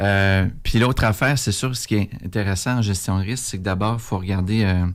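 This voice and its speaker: A man speaks in a Quebec accent at a fairly low pitch. The recording is very clean, with a silent background. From Quebec City area, Canada. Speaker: political candidate. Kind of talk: radio interview. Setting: radio studio. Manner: hesitant, many fillers.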